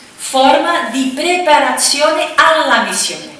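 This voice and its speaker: With audible room echo around her, a woman speaks in a raised, projected voice at a fairly slow pace with ordinary pitch variation. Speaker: speaker. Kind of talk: lecture. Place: hall.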